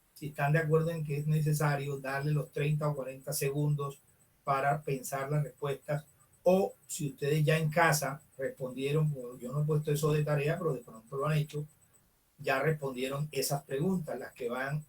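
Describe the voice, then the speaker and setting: A man's fairly high voice moves at a moderate pace with fairly even intonation. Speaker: teacher. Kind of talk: online class lecture. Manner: loud. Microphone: far from the computer mic, quiet.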